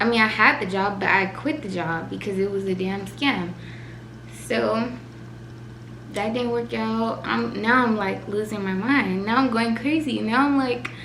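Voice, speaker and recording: Tearful and at a fairly slow pace, a woman of medium pitch swings very widely in pitch amid noticeable background noise and audible room echo. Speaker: vlogger. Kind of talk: emotional personal vlog. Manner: shaky, tearful.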